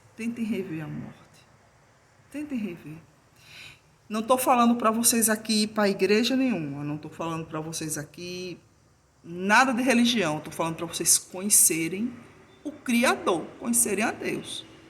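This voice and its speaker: A woman's fairly high voice in an Alagoas accent, fairly slow, with long, frequent pauses, very wide pitch swings and big swings in loudness. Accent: Alagoas (northeastern Brazilian). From Brazil, Alagoas (Northeast). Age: 50s. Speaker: YouTuber sharing personal grief story. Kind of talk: personal talk to camera, faith reflection. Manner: hesitant repetitions.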